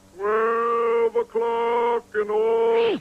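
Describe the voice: A man puts on a cartoonish character voice at an extremely high pitch. The delivery is monotone and flat. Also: dry, close sound with no echo.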